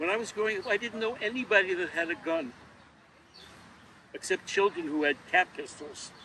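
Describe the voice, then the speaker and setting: A man with a high pitch speaks in a raised, projected voice at a fairly quick pace, with long, frequent pauses. His pitch varies in an ordinary way, and background noise is noticeable. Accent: American. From New York City, Queens. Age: 70s. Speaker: local historian. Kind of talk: interview. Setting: outdoors. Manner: halting.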